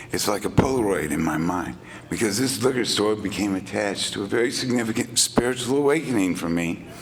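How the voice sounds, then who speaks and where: Over noticeable background noise, a speaker with an American accent talks at a moderate pace with ordinary pitch variation. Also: man. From Texas, Beaumont. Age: 60s. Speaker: recovering alcoholic speaker. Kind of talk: testimony. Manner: animated, halting with fillers.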